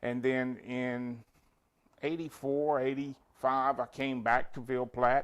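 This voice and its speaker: Speaking very slowly, a man keeps a medium pitch and a monotone, flat intonation. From central Louisiana (Pineville). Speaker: newspaper publisher. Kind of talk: TV interview. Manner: halting, many fillers.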